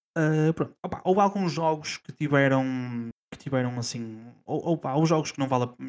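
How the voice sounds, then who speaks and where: At a moderate pace, a man with a European Portuguese accent speaks in a fairly high pitch with ordinary pitch variation. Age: 30s. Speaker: gaming podcast co-host. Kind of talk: casual chat.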